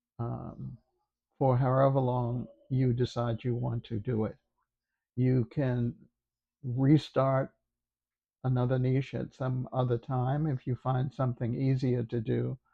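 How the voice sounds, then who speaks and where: Speaking fairly slowly with long, frequent pauses, a somewhat breathy man keeps a monotone, flat intonation at a medium pitch. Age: 90s. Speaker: YouTuber, former teacher. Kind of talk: casual talk to camera. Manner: slow, hesitant.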